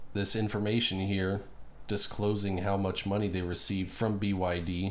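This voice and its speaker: Delivered at a moderate pace in a monotone, flat intonation, the voice holds a very even loudness amid audible room echo. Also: man, fairly low pitch for a man. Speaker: political commentary youtuber. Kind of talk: casual solo commentary. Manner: halting, many fillers.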